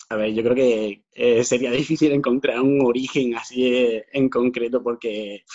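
The intonation stays monotone and flat. This man's voice sits at a medium pitch. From Andalusia, Granada. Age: 30s. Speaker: author. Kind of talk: interview. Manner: halting, many repetitions.

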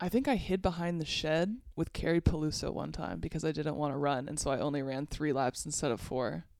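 Pitched very deep and low, a woman talks at a fairly quick pace with hardly any pauses and ordinary pitch variation. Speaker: PhD student. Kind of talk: casual chat.

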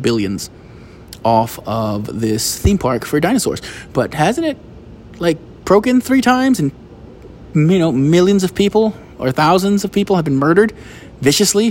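A man with an American accent, a fairly quick pace, and noticeable background noise. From United States. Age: 30s. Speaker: podcaster and stand-up comedian. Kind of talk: casual monologue. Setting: outdoors.

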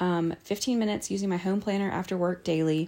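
Her intonation is fairly even. The woman's pitch sits in the medium range. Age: 40s. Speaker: podcast host. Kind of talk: casual monologue. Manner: hesitant, many fillers.

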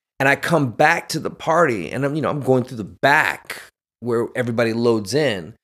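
At a moderate pace, a man with a medium pitch and ordinary pitch variation talks in an ordinary speaking voice, on a very clean recording with a silent background. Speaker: actor and military veteran. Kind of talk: casual chat.

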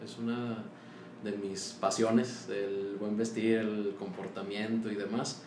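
A man speaks at a fairly low pitch. There is audible room echo and noticeable background noise. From Mexico, Torreón, Coahuila. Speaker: accountant and business owner. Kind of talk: casual interview.

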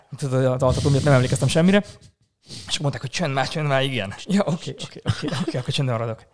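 A man talks at a very fast pace. His fairly high voice shows ordinary pitch variation. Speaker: astrophotographer and hospitality worker. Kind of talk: casual chat.

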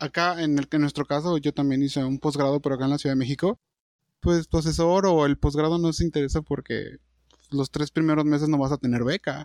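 A man with an unremarkable speaking voice talks at a fairly high pitch and a fairly quick pace, keeping fairly even intonation and very even loudness. The sound is dry and close with no echo, against a quiet background. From Durango, Mexico. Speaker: podcast co-host. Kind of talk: casual chat. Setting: video call.

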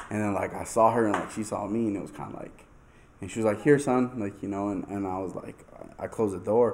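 A man with an American accent talks at a very fast pace, his fairly low pitch carried by fairly even intonation. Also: big swings in loudness. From US Southwest, southwest Albuquerque, New Mexico. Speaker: podcast host. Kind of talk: casual chat.

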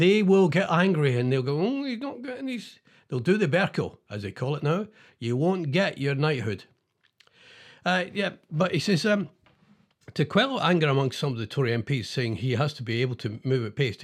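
A man with a Scottish accent talks at a fairly quick pace, his pitch swinging very widely, on a very clean recording with a silent background. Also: fairly high pitch for a man. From Scotland. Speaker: comedic radio DJ. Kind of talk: comedic monologue; reading news aloud. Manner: animated; halting with fillers.

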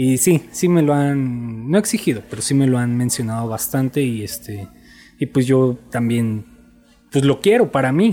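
A man with a Mexico City accent talks at a fairly slow pace and medium pitch, with ordinary pitch variation. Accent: Mexico City Spanish (chilango). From Mexico, Ciudad Nezahualcóyotl (Mexico City area). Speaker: dentist. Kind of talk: casual interview. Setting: at a home during a cookout.

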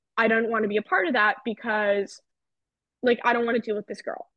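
A woman with an American accent speaks at a very fast pace in a fairly high voice. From New Jersey. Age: 20s. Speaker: podcast guest. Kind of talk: casual chat.

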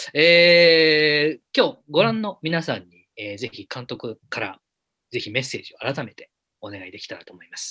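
A man's fairly high voice in an animated, playful tone with very wide pitch swings, at a moderate pace, dry and close with no echo over a quiet background. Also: big swings in loudness. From Japan, Yamanashi (Minami-Alps). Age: 30s. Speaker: film director and podcast host. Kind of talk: casual chat, live-streamed talk show. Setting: live stream.

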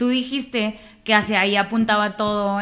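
Moderate pace, with a northern Mexican accent. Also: woman. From Mexico, Nuevo Laredo, Tamaulipas. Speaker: voice-over artist and radio announcer. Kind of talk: casual interview chat.

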